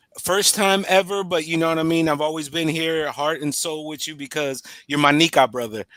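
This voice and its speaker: A man with an American accent speaks at a fairly quick pace in a bright, sharp tone with ordinary pitch variation, on a very clean recording with a silent background. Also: fairly high pitch for a man. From United States. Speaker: guest on a language practice stream. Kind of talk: casual chat. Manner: animated.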